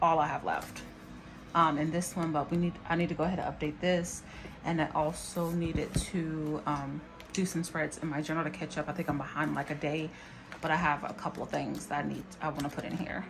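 Clear music sounds in the background. A woman with a very deep, low pitch speaks at a fairly quick pace in a monotone, flat intonation. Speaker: planner vlogger. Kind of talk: casual vlog chat. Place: home room. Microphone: phone near.

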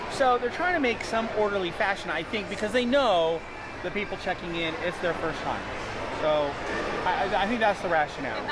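Moderate pace over loud background noise. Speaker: family vlogger. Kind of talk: casual vlog chat. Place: hall. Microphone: phone near.

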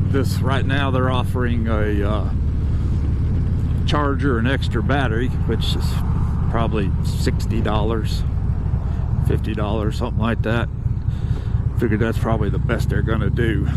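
A man at a moderate pace with long, frequent pauses, dry sound with no echo, and loud background noise behind him. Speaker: motorcycle vlogger. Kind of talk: casual vlog chat. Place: motorbike. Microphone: helmet.

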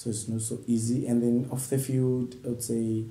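In a room with audible echo, a man speaks at medium pitch and a moderate pace. His dark, mellow tone is somewhat breathy, with monotone, flat intonation. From Zambia. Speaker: professional footballer; interviewee. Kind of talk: interview. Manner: halting. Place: home room.

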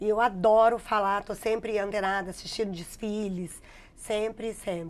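A woman speaks at a moderate pace and a medium pitch. Her intonation stays monotone and flat. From Minas Gerais, Brazil (Contagem, near Belo Horizonte). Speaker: digital influencer and math teacher. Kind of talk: interview. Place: studio. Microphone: lapel.

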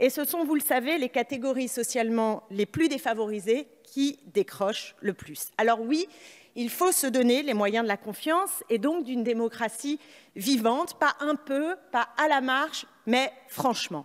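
Fairly slow speech over a quiet background. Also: woman, high pitch for a woman. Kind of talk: parliamentary speech. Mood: critical, combative. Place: hall. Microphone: podium.

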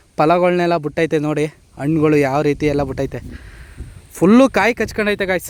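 Fairly high in pitch, a man talks with ordinary pitch variation. He has a plain, everyday voice. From Karnataka, Mandya district. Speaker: YouTube vlogger. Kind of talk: vlog walkthrough and interview. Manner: casual, conversational.

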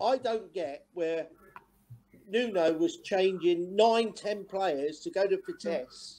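A man speaks very slowly in an English accent, his pitch high for a man. His tone is dark and mellow, with ordinary pitch variation. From England. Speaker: former footballer. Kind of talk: casual chat. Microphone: video call.

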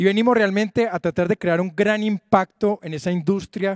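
A man talks at a fairly quick pace against a quiet background, the sound dry with no echo. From Colombia (Medellín); Colombia. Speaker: tech entrepreneur, digital bank founder. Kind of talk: formal speech at an event. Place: stage. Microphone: handheld.

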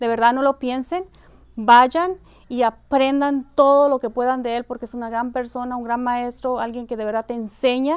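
A woman speaks at a high pitch and a moderate pace. The background is quiet. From Mexico. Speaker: photographer. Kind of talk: testimonial. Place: hall.

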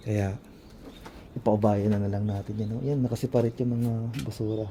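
At a moderate pace, a man talks in a medium pitch. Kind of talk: casual vlog talk to camera.

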